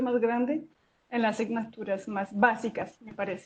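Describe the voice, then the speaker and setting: A woman speaks in a fairly high voice with fairly even intonation. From foreign, not Colombian. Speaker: geosciences professor. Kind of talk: interview. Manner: halting, many fillers.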